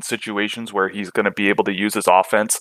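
A man speaks at a fairly low pitch in a monotone, flat intonation. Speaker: hockey draft analyst. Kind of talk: interview.

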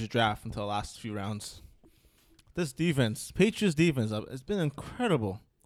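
A man with a normal speaking voice talks at a medium pitch and a moderate pace, with lively intonation. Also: big swings in loudness. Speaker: fantasy football podcast co-host. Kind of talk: casual chat.

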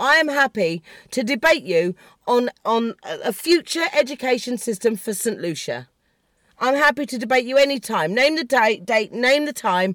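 A woman with an English accent is shouting at a high pitch and a moderate pace, with very wide pitch swings. It is a very clean recording with a silent background and a dry, close sound with no echo. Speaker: podcast host. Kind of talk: political rant. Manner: shouty; animated.

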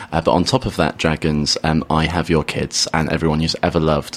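Noticeable background noise runs under the recording. The speech moves at a fairly quick pace. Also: man. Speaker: comedian. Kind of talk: radio interview chat. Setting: radio studio. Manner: wry, self-deprecating, jokey.

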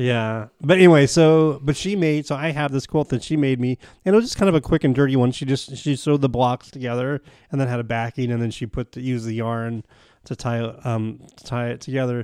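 At a fairly quick pace, a man speaks in a plain, everyday voice of medium pitch, dry and close with no echo, on a very clean recording with a silent background. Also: ordinary pitch variation, big swings in loudness. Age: 50s. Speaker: podcast host. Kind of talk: casual chat.

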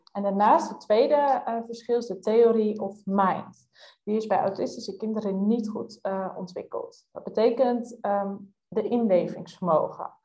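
A somewhat breathy, dark, mellow voice at a fairly slow pace, with hardly any pauses. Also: woman, fairly high pitch for a woman, fairly even intonation, big swings in loudness. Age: 20s. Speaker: youth coach. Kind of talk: casual interview.

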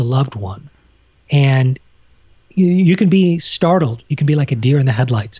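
A man with a fairly high pitch speaks at a moderate pace, his voice somewhat breathy. His intonation is lively and his tone calm. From Canada. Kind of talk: casual interview conversation.

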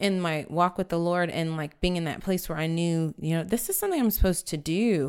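A woman with an American accent and an unremarkable speaking voice talks fairly quickly at a fairly low pitch. The recording is very clean with a silent background. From San Antonio, Texas. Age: 30s. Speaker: church worship leader. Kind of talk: casual interview chat. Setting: studio at a table with host.

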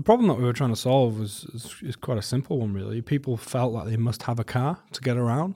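At a very fast pace, a somewhat breathy voice with a dark, mellow tone and ordinary pitch variation comes through in a very clean recording with a silent background. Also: man, medium pitch for a man. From Wales. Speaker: transport agency director. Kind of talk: interview.

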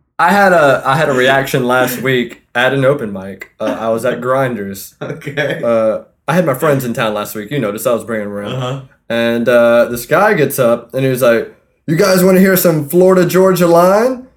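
Using an unremarkable speaking voice, a man talks at a moderate pace and medium pitch. His intonation is lively. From North Carolina (Fayetteville). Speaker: podcast host. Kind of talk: casual chat.

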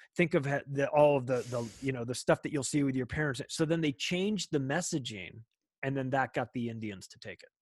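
Recorded with a dry, close sound with no echo over a quiet background, a man talks fairly quickly in a fairly high voice, with ordinary pitch variation and big swings in loudness. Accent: American. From Southern California, Palm Springs. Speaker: podcaster. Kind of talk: casual chat. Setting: remote call. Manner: halting, repetitive restarts.

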